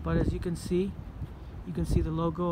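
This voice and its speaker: Noticeable background noise sits behind a man with a very deep, low pitch. He talks at a fairly quick pace with ordinary pitch variation. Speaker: explorer vlogger. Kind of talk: casual vlog commentary. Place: street. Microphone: phone near.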